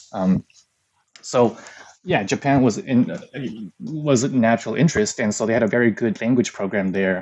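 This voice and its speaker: A man with a Midwestern accent talks at medium pitch and a moderate pace, with lively intonation. He leaves long, frequent pauses. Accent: American, Midwest. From US Midwest, Ann Arbor, Michigan. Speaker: translator, podcast guest. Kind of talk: casual interview chat. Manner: halting, many fillers.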